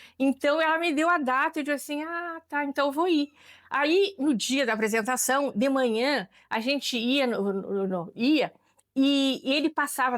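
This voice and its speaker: In a dry, close sound with no echo on a very clean recording with a silent background, a woman speaks at a moderate pace in a high pitch with ordinary variation. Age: 70s. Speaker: longtime community member. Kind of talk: interview testimony. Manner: halting, with many repetitions.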